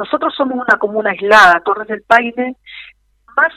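A woman with an unremarkable speaking voice, in dry, close sound with no echo. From Chilean Patagonia (Magallanes). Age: 50s. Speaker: former mayor and political candidate. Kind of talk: radio interview. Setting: phone call.

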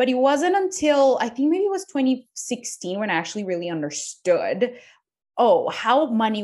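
A woman speaks with a Spanish accent. Her pitch swings very widely. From Colombia. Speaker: business coach. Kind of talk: interview.

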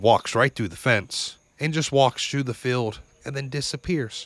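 In a very clean recording with a silent background and a dry, close sound with no echo, a man talks fairly slowly at medium pitch with ordinary pitch variation and an animated tone. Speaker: podcast host. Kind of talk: ghost story telling, first-person spooky tale. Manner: casual, conversational storyteller; animated, building suspense.

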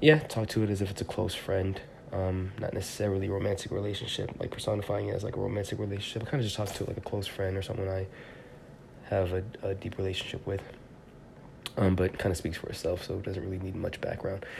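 Very fast speech comes from a man with a fairly low pitch. Audible room echo and noticeable background noise fill the recording. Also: fairly even intonation. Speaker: poet and podcast host. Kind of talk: casual monologue; poetry reading. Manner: hesitant, many fillers.

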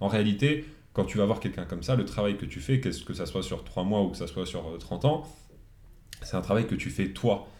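A man talks at a fairly quick pace with a dark, mellow tone and a fairly low pitch. His intonation is lively, and room echo is audible. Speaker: podcast guest, new father. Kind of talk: casual chat.

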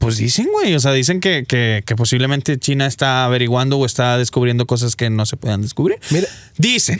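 A man's medium-pitched voice at a fairly quick pace, with ordinary pitch variation and very even loudness. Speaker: radio host. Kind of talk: casual chat. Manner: animated.

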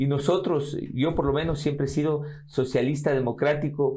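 A dark, mellow tone marks the voice. The speaker is a man. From Ecuador, Riobamba (Andean highlands). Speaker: politician and lawyer. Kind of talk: interview.

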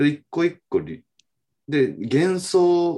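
A man speaks against a quiet background. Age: 30s. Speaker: TV director. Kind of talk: casual chat.

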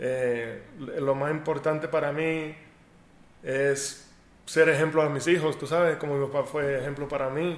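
A man speaks at a fairly slow pace in a fairly high pitch. His intonation is monotone and flat, with audible room echo. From United States. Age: 30s. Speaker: professional baseball pitcher. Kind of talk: interview. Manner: halting.

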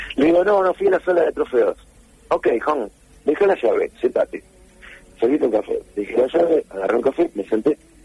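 In a Rioplatense accent, a man talks at a fairly quick pace with long, frequent pauses and very even loudness, in a dry, close sound with no echo. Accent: Argentine Rioplatense Spanish. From Junín, Buenos Aires province, Argentina. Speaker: musician and record producer. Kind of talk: interview.

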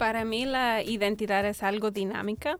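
A woman has a plain, everyday voice, fairly high in pitch. She speaks at a fairly slow pace with fairly even intonation. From United States. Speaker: doctoral researcher. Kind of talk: panel discussion.

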